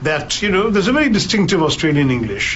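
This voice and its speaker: The speaker has an Indian accent and lively intonation at a very fast pace. Audible room echo and noticeable background noise are present. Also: man. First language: Malayalam. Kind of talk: interview.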